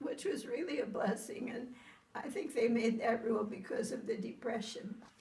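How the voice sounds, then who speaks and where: Audible room echo and noticeable background noise are both present in this clip. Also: woman, ordinary pitch variation, moderate pace. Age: 90s. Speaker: elderly mother being visited. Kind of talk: casual family chat.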